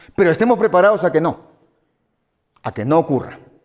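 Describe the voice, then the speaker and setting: Lively intonation from a man with a fairly high pitch. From Peru. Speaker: lawyer and drug policy expert. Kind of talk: conference talk.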